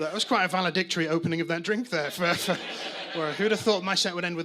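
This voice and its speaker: A man talks at a very fast pace with a high pitch and ordinary pitch variation. Noticeable background noise runs underneath. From northern England, Manchester. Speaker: stand-up comedian. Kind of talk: stand-up. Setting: stage with audience. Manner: halting, many fillers and repeats.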